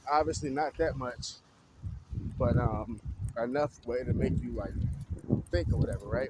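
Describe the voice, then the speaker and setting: A man speaks at a moderate pace. Noticeable background noise runs under his voice. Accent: American. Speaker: vlogger. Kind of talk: casual monologue vlog. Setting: outdoors, walking. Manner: stuttering a little.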